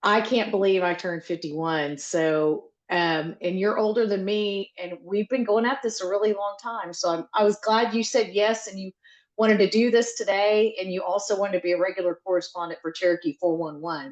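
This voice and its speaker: A woman with an American accent talks at medium pitch and a moderate pace, with hardly any pauses. She has an ordinary speaking voice and ordinary pitch variation. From Oklahoma (Seminole). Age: 50s. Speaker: interviewer. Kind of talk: interview.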